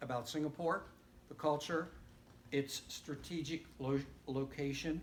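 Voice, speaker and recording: Speaking at a moderate pace in a fairly high pitch for a man, this man keeps a monotone, flat intonation, and audible room echo surrounds him. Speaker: missionary. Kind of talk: church talk. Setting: church. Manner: loud.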